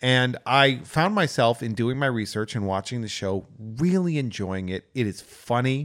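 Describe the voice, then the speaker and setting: Speaking at a medium pitch and moderate pace, a man sounds animated, with lively intonation. He hardly pauses at all. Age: 40s. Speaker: podcast host. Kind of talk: casual chat.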